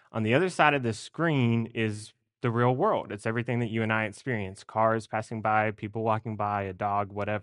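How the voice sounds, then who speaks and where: A man talks at a fairly quick pace with medium pitch and fairly even intonation. It is a plain, everyday voice against a quiet background. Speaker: seminary student preacher. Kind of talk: sermon. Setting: church.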